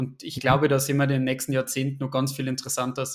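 The man talks at a fairly quick pace with medium pitch. His intonation is monotone and flat. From Bavaria, Upper Palatinate near Regensburg. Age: 20s. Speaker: private investor, IT worker. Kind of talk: casual interview chat.

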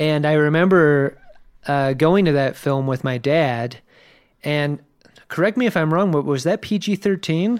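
A man with an American accent talks at a fairly slow pace in a plain, everyday voice, his pitch fairly high with ordinary variation. His loudness holds very even in a very clean recording with a silent background. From Virginia Beach, US. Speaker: podcast host, guest. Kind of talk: casual chat.

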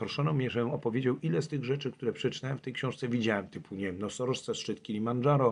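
A man talks in an unremarkable speaking voice, pitched at a medium level, and his pitch variation is ordinary. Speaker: climber and traveller. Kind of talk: interview.

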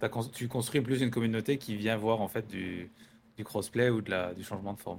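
A man with an ordinary speaking voice talks at a moderate pace and medium pitch, his intonation fairly even and his loudness swinging widely. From rural France. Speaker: podcast host, photographer. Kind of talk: casual interview. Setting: filmed interview setup. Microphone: own voice slightly quieter than the guest's.

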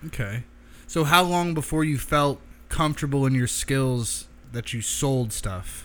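At a fairly slow pace, a man talks in an ordinary speaking voice with a fairly high pitch and ordinary pitch variation. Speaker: podcast host. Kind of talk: casual interview. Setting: in a knife shop.

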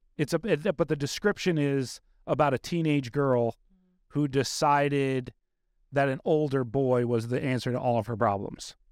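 A man with a fairly high pitch, a normal speaking voice, moderate pace and ordinary pitch variation, in a very clean recording with a silent background and a dry, close sound with no echo. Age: 40s. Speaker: podcast host. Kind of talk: casual interview chat. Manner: candid, profane.

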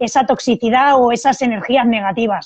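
The speaker is a woman. Her pitch is high. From Spain, Barcelona. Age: 30s. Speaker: Muay Thai fighter and self-defence instructor. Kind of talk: casual interview.

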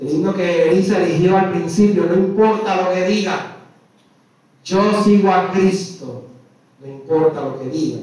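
Fairly slow speech from a man, high-pitched, with ordinary pitch variation and audible room echo. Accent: Puerto Rican. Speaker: priest. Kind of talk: sermon. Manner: slow, paced.

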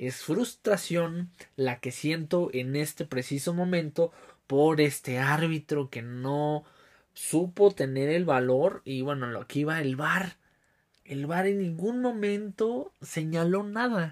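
A man's fairly high voice with a Mexican accent, lively intonation and a very slow pace. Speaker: podcast host. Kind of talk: casual monologue. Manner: hesitant, many fillers.

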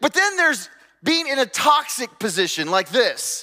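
A man speaks in a raised, projected voice at an extremely high pitch, with very wide pitch swings. His tone is bright and sharp, and his pace moderate. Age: 40s. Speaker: pastor. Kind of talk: sermon.

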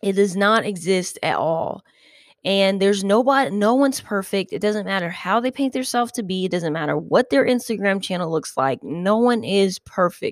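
An ordinary speaking voice from a woman, medium-pitched, moderate in pace, with lively intonation. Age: 30s. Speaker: podcast host. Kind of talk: casual monologue. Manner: rambling, filler-heavy.

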